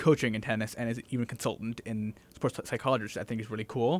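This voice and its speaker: A man's plain, everyday voice at medium pitch, with ordinary pitch variation and an American accent. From Massachusetts. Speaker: podcast host, student. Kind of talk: casual chat.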